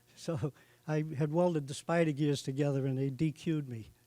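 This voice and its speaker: Here is a man with a Boston accent. His dark, mellow voice keeps a moderate pace. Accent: Boston-area New England. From Massachusetts (Norfolk). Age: 70s. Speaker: racing hall of fame inductee. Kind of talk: acceptance speech.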